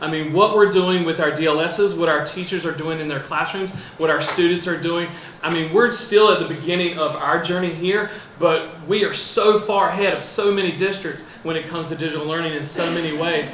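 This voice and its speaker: A man's high pitch, fairly even intonation, and fairly quick pace, with noticeable background noise and audible room echo. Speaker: school district digital learning staff. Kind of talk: presentation to school board.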